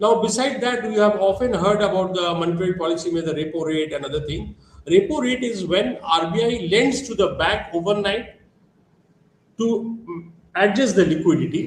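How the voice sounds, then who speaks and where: In an Indian accent, a man with a high pitch speaks with ordinary pitch variation amid audible room echo. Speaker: lecturer. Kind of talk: lecture. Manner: fast.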